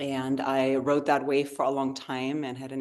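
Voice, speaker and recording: Against a quiet background, a woman with a slight German accent and a very deep, low pitch speaks at a moderate pace. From Germany, rural area near the Dutch border. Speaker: yoga therapist. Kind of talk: interview conversation.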